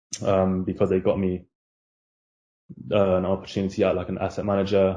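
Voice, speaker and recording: A dark, mellow tone with a London accent, at a fairly quick pace. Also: man. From London, Hackney. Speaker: junior banker, university graduate. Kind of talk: casual interview chat. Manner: hesitant, many fillers.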